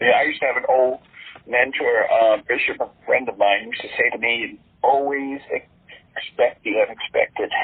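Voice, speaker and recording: Moderate-paced male speech amid noticeable background noise. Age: 60s. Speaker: exorcist clergyman. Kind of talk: interview. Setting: podcast interview. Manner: halting, many fillers.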